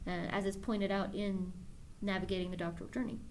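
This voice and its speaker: There is audible room echo as a woman speaks at a fairly quick pace. Her medium-pitched voice carries vocal fry. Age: 30s. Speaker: doctoral student and video blogger. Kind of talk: personal video blog monologue. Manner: self-assured, authoritative; hesitant, with fillers and repeats.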